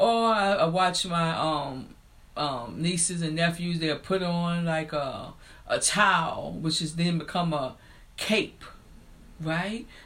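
Speaking very slowly with an American accent, a woman uses a fairly low voice with ordinary pitch variation amid audible room echo. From rural US. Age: 50s.

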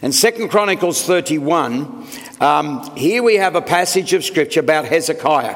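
Noticeable background noise sits under a man speaking in a high voice. He has an Australian accent and keeps a moderate pace. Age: 70s. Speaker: senior pastor. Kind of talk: sermon.

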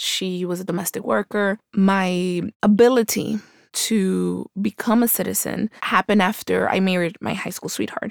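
Speaking at a moderate pace, a woman with an American accent has an unremarkable speaking voice at medium pitch with ordinary pitch variation. The sound is dry and close, with no echo. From Colombia until age nine, then New York (Queens). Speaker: political candidate and lawyer. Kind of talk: interview.

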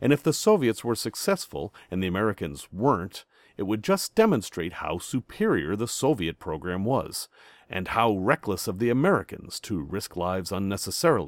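An ordinary speaking voice from a man, fairly low in pitch with lively intonation, in a dry, close sound with no echo. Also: moderate pace, very clean recording, silent background. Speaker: podcast host. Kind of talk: history documentary narration. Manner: measured, clear, authoritative storyteller pace.

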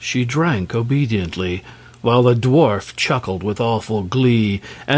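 The pitch moves in an ordinary way across a natural reading voice.

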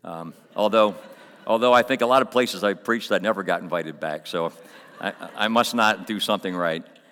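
Speaking with an American accent, a man uses a fairly low pitch and a bright, sharp tone. His pace is fairly quick, with ordinary pitch variation. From Coatesville, Pennsylvania. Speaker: visiting pastor and prison corrections worker. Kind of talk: sermon. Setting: church.

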